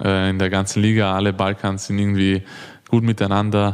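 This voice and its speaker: Speaking with a slight Viennese accent, a man keeps a fairly low pitch and monotone, flat intonation. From Austria, Vienna. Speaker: handball player. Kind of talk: interview.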